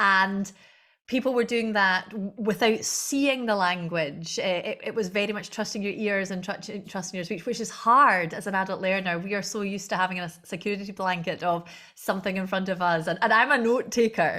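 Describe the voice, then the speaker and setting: A woman with a Scottish accent speaks at a fairly quick pace in a bright, sharp tone, her medium pitch showing ordinary variation. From Scotland, Argyll. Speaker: Gaelic language director and singer. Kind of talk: interview conversation.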